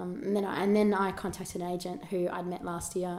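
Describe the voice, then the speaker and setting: A woman at a medium pitch and a very fast pace, with ordinary pitch variation and an Australian accent. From Australia, rural New South Wales (Albury). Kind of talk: casual chat.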